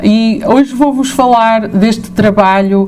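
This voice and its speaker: Female speech with noticeable background noise and audible echo from the room. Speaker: professor. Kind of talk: lecture. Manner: hesitant, many fillers.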